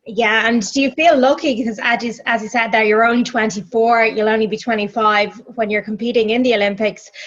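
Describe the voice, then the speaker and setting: A woman with an Irish accent talks fairly quickly at a fairly high pitch, with hardly any pauses. Noticeable background noise sits behind her. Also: fairly even intonation. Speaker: radio broadcaster, interviewer. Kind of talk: interview. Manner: hesitant, many fillers.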